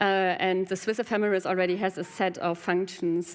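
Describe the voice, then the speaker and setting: A woman's medium-pitched voice with a German accent and fairly even intonation. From Germany. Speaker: game designer and programmer. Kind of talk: conference Q&A. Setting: stage with audience. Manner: hesitant, many fillers.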